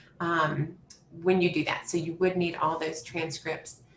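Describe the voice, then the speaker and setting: Audible room echo and light background noise surround a woman speaking at a fairly low pitch. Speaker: graduate student services manager; webinar host. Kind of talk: informational webinar. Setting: video call. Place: home room. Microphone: video call.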